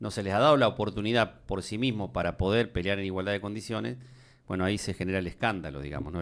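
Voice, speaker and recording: Talking at a very fast pace in a Rioplatense accent, a man with a very deep, low pitch and ordinary pitch variation is heard in a very clean recording with a silent background. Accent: Argentine Spanish (rioplatense). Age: 60s. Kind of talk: casual discussion. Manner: hesitant with filler words.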